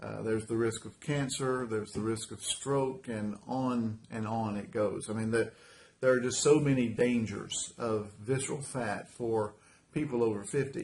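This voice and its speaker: A man talks at a moderate pace in a medium pitch with fairly even intonation. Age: 60s. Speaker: carpet cleaning business owner sharing weight loss story. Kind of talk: personal testimony. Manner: casual, halting with fillers and repetitions.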